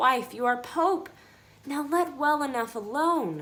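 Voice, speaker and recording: A woman uses a put-on character voice with high pitch, raised and projected. She speaks at a fairly slow pace. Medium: read story.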